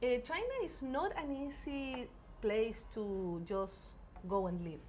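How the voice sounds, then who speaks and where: Pitch swings very widely as a woman speaks very slowly at a high pitch. The room echo is audible and background noise noticeable. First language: not English. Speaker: podcast co-host. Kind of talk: casual chat.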